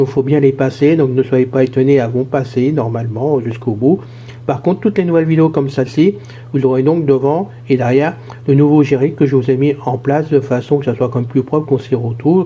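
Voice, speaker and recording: Somewhat breathy male speech, dark and mellow in tone, at a fairly quick pace with fairly even intonation. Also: medium pitch for a man. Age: 60s. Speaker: YouTube channel host. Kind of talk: casual vlog monologue. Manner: hesitant, many fillers.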